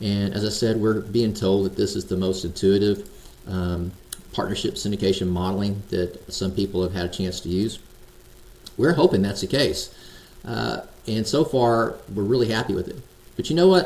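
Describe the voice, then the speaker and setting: The man speaks with a fairly low pitch and ordinary pitch variation. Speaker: software founder demoing product. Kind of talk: screen-share product demo. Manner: fast, casual; informal with fillers.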